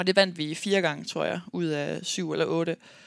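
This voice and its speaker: A woman talks at a fairly slow pace with ordinary pitch variation. The very clean recording has a silent background and a dry, close sound with no echo. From Denmark, Aarhus. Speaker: professional basketball player and podcast host. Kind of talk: casual monologue podcast. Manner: frequent filler hesitations.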